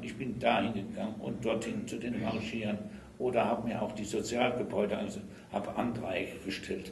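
In a room with audible echo and light background noise, a man speaks at a moderate pace with a fairly low pitch and ordinary pitch variation. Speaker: retired railway trade unionist. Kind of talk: oral history interview answer. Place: meeting room.

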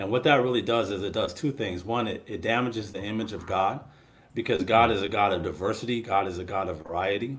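With an American accent, a man talks at a very fast pace in a fairly low, somewhat breathy voice with ordinary pitch variation. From Washington State, US. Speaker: pastor. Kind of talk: panel discussion. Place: home room. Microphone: webcam.

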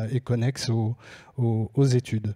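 A somewhat breathy voice at a fairly slow pace, with fairly even intonation and a quiet background. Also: man. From France. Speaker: scholarship association organizer. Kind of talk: presentation. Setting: stage with audience. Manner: halting. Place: stage. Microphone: handheld.

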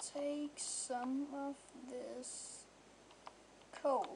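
The tone is dark and mellow, with monotone, flat intonation. The pace is very slow. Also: woman. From Denmark. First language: Danish. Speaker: gamer. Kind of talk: casual gameplay commentary.

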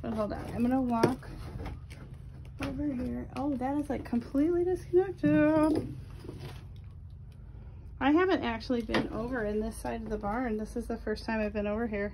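Over noticeable background noise, a woman speaks at a moderate pace, leaving long, frequent pauses. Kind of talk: casual vlog chat. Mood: admiring, wistful. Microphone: phone near.

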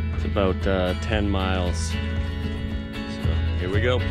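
Over loud music in the background, a man speaks at a very slow pace with ordinary pitch variation in a dry sound with no echo. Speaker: sailing vlogger. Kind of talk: casual vlog chat. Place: boat. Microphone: phone near.

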